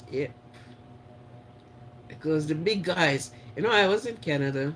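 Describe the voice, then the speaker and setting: This man talks at a moderate pace in a Jamaican accent. His pitch is fairly high, and his intonation is lively. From Jamaica (St Mary parish). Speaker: live stream host. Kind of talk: casual live chat with viewers. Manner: animated.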